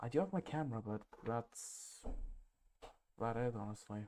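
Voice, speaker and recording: A soft-spoken man talks at a medium pitch. His tone is dark and mellow. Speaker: photography livestreamer. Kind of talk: live stream commentary. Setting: live stream at sister's house. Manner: halting, many fillers.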